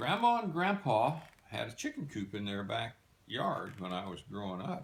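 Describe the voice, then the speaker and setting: A man speaks in a somewhat breathy voice. His pitch swings very widely. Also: medium pitch for a man, moderate pace. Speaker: retired physician and former soldier. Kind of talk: personal storytelling. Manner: relaxed, conversational.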